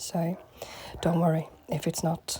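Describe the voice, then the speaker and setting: Noticeable background noise accompanies a woman. Her fairly low-pitched voice has fairly even intonation. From northern England, Manchester. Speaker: makeup artist. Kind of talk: makeup tutorial.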